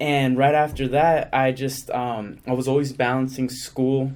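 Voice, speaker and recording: A man's voice, pitched in the medium range, moves along at a moderate pace. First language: Spanish. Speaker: actor. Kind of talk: interview. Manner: casual, uses 'like' often, code-switches to Spanish.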